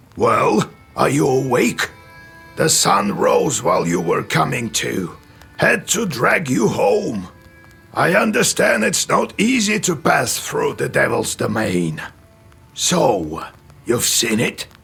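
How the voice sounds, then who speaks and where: At a fairly slow pace, a man performs a put-on character voice, with faint music in the background. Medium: machinima. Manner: slow, musing.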